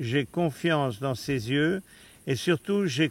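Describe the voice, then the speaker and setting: This man's fairly high voice shows ordinary pitch variation as he talks very slowly. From Austria. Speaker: hunting client. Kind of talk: casual recap interview.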